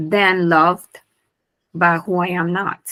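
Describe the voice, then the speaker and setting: The speaker talks at a very slow pace in a Honduran accent. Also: woman. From Honduras. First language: Spanish. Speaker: business owner. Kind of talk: interview.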